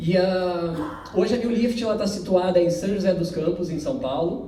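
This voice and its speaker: A speaker with a southern Brazilian accent is heard with audible room echo and noticeable background noise. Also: man. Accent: gaúcho (southern Brazilian). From southern Brazil (Porto Alegre, Rio Grande do Sul). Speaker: company representative presenting safety technology. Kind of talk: corporate presentation. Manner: conversational, many filler words.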